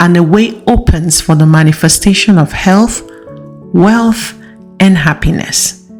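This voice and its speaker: With music in the background, a woman speaks at a very slow pace using lively intonation. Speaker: audiobook narrator. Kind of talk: audiobook reading.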